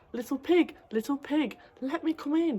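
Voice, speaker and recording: Putting on a character voice, a woman growls at a high pitch. She keeps a moderate pace. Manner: growling, menacing.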